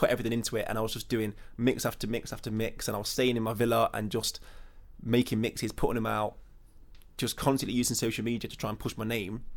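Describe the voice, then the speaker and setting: A man with a West Midlands accent at medium pitch, talking at a very fast pace with fairly even intonation. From English Midlands, Burton on Trent. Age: 20s. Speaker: DJ. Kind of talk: interview. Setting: hotel room.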